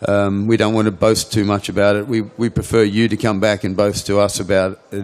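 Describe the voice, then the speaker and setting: A man's fairly low voice with an Australian accent, monotone and flat in intonation, at a moderate pace. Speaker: cannabis seed company owner. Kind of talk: conference Q&A answer. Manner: halting with repetitions.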